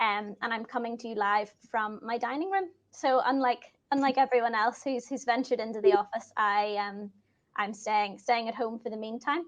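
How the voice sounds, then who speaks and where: A woman speaks at a moderate pace in a fairly high pitch. Her pitch variation is ordinary. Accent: Northern Irish. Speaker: risk assurance employee. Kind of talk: self-introduction at virtual event. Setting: video call from dining room.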